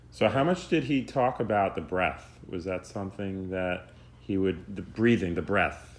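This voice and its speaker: In a plain, everyday voice, a man with a fairly low pitch talks at a fairly slow pace with ordinary pitch variation. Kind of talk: interview questions.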